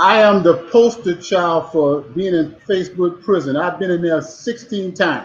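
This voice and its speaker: With hardly any pauses, a man talks at a moderate pace in a high pitch, showing ordinary pitch variation. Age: 60s. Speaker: former pro football player. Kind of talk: casual chat.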